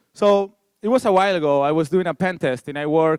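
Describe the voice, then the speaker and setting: In a Spanish accent, a man speaks with lively intonation in a dry, close sound with no echo. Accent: Spanish, noticeable. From Spain. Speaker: security researcher. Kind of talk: conference talk.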